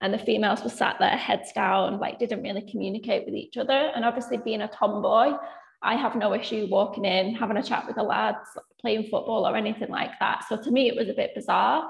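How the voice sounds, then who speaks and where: Spoken at a fairly quick pace in a Mancunian accent, the voice keeps a fairly even intonation against noticeable background noise. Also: woman, fairly high pitch for a woman. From Manchester, England. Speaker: finance controller. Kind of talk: panel discussion.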